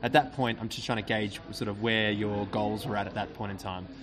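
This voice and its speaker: The voice belongs to a man. Background noise can be noticeably heard. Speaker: podcast host. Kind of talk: interview; scripted narration. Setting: restaurant, recorded live.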